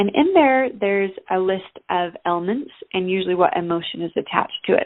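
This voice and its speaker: A woman with an unremarkable speaking voice talks at a fairly quick pace in a medium pitch. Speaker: natural health coach. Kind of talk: informational talk. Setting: phone call.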